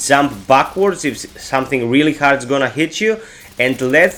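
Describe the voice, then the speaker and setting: Lively intonation from a man at a fairly slow pace, with noticeable background noise. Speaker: gaming YouTuber. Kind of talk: game tutorial.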